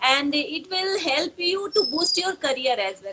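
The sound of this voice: A woman's high pitch with big pitch swings, a bright, sharp tone and a fairly slow pace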